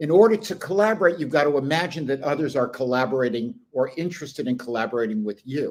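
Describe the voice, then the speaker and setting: Barely pausing, a man rattles along at a very fast pace in a fairly high pitch with lively intonation. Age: 70s. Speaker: business consultant and journalist. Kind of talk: interview.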